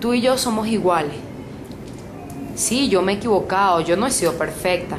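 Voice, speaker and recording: Speech at a moderate pace, with noticeable background noise and audible room echo. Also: woman. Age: 60s. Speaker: preacher. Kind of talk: sermon.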